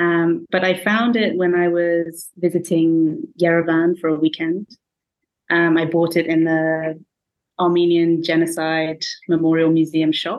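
In an English accent, a woman speaks at a fairly slow pace with a fairly low pitch, monotone, flat intonation and very even loudness. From England. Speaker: writer and researcher. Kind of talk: casual book discussion.

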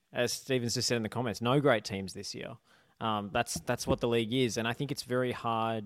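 In a very clean recording with a silent background, a man speaks at a fairly quick pace in a plain, everyday voice, medium in pitch with fairly even intonation. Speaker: football journalist. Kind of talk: casual chat.

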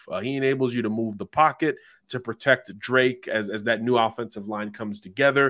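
A man's medium-pitched, bright, sharp voice at a fairly quick pace, fairly even in intonation, on a very clean recording with a silent background. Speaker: college football analyst. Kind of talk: analytical sports talk, scouting breakdown.

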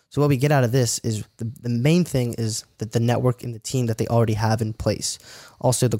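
At a very fast pace, a man with a medium pitch and a dark, mellow tone is heard in a dry, close sound with no echo, on a very clean recording with a silent background. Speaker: real estate investor. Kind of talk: interview.

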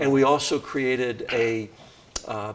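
An American-accented man with fairly even intonation, plus noticeable background noise. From Wisconsin, US Midwest. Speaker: nonprofit CEO. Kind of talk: interview.

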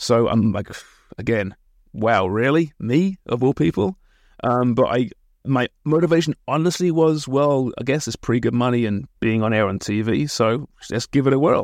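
With an English accent, a man speaks at a moderate pace and a medium pitch, his intonation lively. The sound is dry and close with no echo, against a quiet background. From England, Kent. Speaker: soccer broadcaster and podcast host. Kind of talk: interview. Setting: small office beside a studio.

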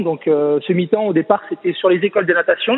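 High-pitched male voice, ordinary pitch variation, noticeable background noise behind it. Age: 30s. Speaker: swimming coach. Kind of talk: casual interview. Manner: halting, many repetitions.

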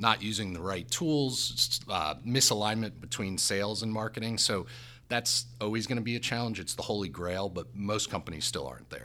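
On a very clean recording with a silent background, a man with a fairly low pitch and a bright, sharp tone speaks at a moderate pace with lively intonation. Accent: American. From New Jersey. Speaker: company CEO. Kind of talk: casual interview chat.

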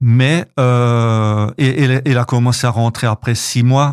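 A man speaks at a medium pitch with ordinary pitch variation. The recording is very clean, with a silent background and a dry, close sound with no echo. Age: 60s. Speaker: association president and author. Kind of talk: radio interview. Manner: halting, many repetitions and hesitations.

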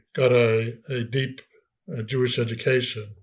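The man has an American accent and a medium pitch. He sounds somewhat breathy and keeps a moderate pace. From Boston, US Northeast. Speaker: rabbi and author. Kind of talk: interview. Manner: halting, repeats words.

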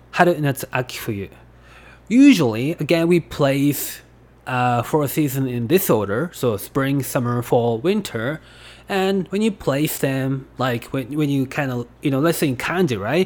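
Someone speaks at a fairly slow pace with a Japanese accent. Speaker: language teacher. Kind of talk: tutorial. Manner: halting.

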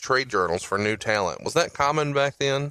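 A man's bright, sharp tone with an American accent and fairly even intonation, in a dry, close sound with no echo. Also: very clean recording, silent background. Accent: Southern drawl, reduced. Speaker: podcast host. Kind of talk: casual chat.

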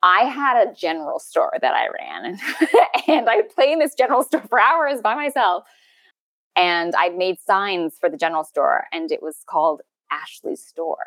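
In a Canadian accent, a woman with a high pitch speaks at a moderate pace with very wide pitch swings, the sound dry and close with no echo. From Canada, interior of British Columbia. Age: 30s. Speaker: actress. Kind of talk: personal interview conversation.

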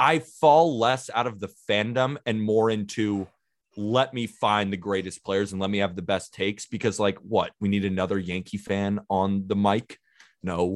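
With an American accent, a man speaks in a normal speaking voice at a fairly low pitch. His pace is moderate and his pitch variation ordinary. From California. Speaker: baseball podcaster. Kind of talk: casual chat.

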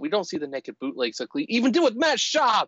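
A man talking at a fairly quick pace with very wide pitch swings. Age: 50s. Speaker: football podcast guest. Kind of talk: casual chat.

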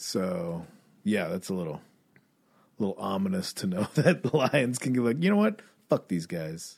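A man with vocal fry talks at a moderate pace in a medium pitch, his voice swinging very widely up and down, with long, frequent pauses. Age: 40s. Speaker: comedian and podcast host. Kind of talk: casual chat.

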